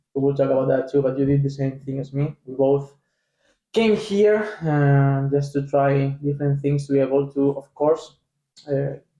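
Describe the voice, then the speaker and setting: A man with a Spanish accent, fairly high in pitch, dark and mellow in tone, at a moderate pace with fairly even intonation. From Spain. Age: 20s. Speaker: professional soccer player. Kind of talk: casual chat.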